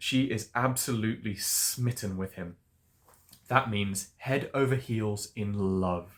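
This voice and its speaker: Here a man talks very slowly in an RP accent. His tone is upbeat and his pitch varies in an ordinary way. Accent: Received Pronunciation. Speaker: English tutor. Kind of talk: storytelling book reading for learners. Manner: upbeat, expressive.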